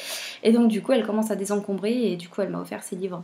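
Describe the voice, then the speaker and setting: At a fairly quick pace, a woman talks in a medium pitch. Her pitch variation is ordinary. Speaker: booktuber. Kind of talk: casual vlog talk. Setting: at home, baby napping nearby. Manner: quiet; hesitant.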